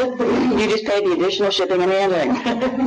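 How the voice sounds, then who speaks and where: A man's high-pitched voice at a moderate pace, lively in intonation, with noticeable background noise. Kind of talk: infomercial parody. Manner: breathless, gushing hard-sell pitch, frantic and gleeful, breaking into giggles.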